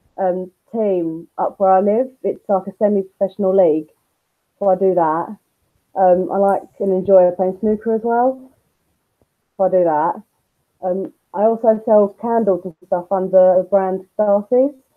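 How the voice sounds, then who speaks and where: A woman with a London accent speaks at a fairly slow pace and a medium pitch. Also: fairly even intonation. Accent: London-sounding. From Essex, England (Basildon). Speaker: YouTuber and nursery worker. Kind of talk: interview. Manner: hesitant, many ums. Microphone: muffled audio.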